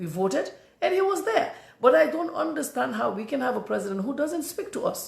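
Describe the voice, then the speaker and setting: Speaking at a very fast pace with very wide pitch swings, the voice carries a Gambian accent amid audible room echo. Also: woman. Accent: non-native English, Gambian. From The Gambia. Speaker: political commentator. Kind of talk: political commentary monologue. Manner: animated, repetitive stammering.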